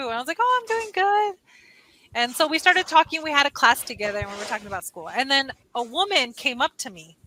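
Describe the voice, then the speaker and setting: A woman speaks in a raised, projected voice, high-pitched and animated, at a fairly quick pace. Her pitch swings very widely, and the sound is dry and close with no echo. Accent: Californian. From California, US. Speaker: online English tutor. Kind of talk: casual chat. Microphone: headphones without microphone, computer mic.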